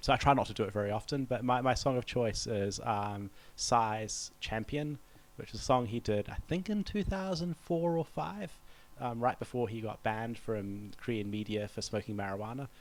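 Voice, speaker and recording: A medium-pitched man with a New Zealand accent at a moderate pace, in a very clean recording with a silent background. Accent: Kiwi. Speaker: diplomat. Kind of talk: interview. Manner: hesitant, with fillers.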